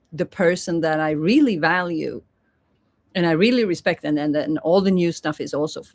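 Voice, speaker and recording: A woman with a non-native accent speaks at a medium pitch and a moderate pace with lively intonation on a very clean recording with a silent background. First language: not English. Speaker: spiritual teacher. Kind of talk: livestream monologue. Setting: live YouTube stream.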